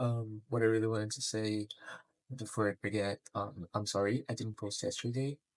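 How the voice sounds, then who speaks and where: A quiet male voice at medium pitch and a moderate pace. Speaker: vlogger. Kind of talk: personal vlog monologue. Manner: quiet, lowered voice; halting, many fillers.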